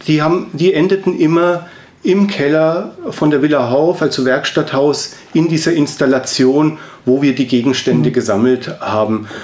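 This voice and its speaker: A man speaks in a normal speaking voice. His pace is fairly slow, with ordinary pitch variation. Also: very even loudness. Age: 40s. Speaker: sculptor and artist. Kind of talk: interview. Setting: studio.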